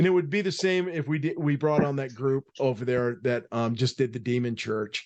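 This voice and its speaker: A man speaks in an ordinary speaking voice at medium pitch and a moderate pace. He barely pauses, and his pitch varies in an ordinary way. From US Northeast, Boston area. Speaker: podcast host. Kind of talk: casual chat.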